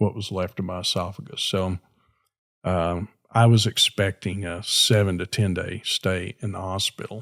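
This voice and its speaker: A man with an American accent speaks in a very deep, low voice with fairly even intonation. The recording is very clean with a silent background, and the sound is dry and close with no echo. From Texas (Garland, Dallas area). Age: 70s. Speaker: commercial real estate broker. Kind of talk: interview, personal testimony. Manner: halting, with frequent fillers.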